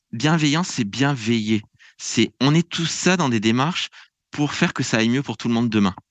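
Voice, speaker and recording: A man's normal speaking voice at medium pitch and moderate pace, with lively intonation, a dry, close sound with no echo and a quiet background. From France. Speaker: public administration researcher and lecturer. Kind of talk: podcast interview.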